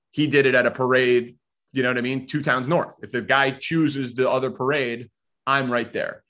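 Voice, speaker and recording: A man's medium-pitched, bright, sharp voice at a moderate pace, in a monotone, flat intonation. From Chicago suburbs, Illinois. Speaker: sports radio host. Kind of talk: interview.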